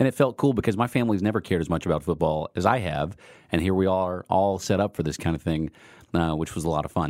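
Over a silent background in a very clean recording, a man speaks very fast in a very deep, low voice. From Texas. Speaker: podcast host. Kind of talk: casual chat. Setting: studio.

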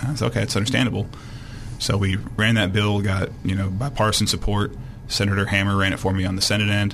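Delivered at a very fast pace with fairly even intonation and very even loudness, the speech carries audible room echo and noticeable background noise. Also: man, fairly low pitch for a man. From Arkansas, moved from Illinois at about 12. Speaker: state legislator. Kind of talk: radio interview. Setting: studio.

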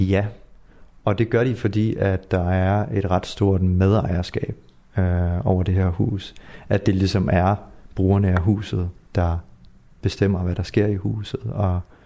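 A man with a very deep, low pitch and a dark, mellow tone speaks fairly slowly with fairly even intonation and long, frequent pauses. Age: 20s. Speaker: artist in a youth culture house. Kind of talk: interview. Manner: hesitant, many fillers.

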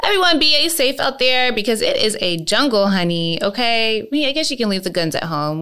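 With an American accent, a woman talks at a fairly quick pace with hardly any pauses, her animated delivery bright and sharp and her pitch swinging very widely. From US, "the valley". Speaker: podcast host. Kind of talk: casual chat.

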